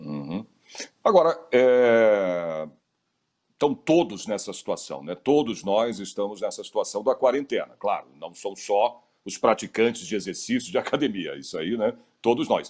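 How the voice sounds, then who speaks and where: Very wide pitch swings from a man speaking fairly slowly. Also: medium pitch for a man. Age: 60s. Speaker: interviewer. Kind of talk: interview.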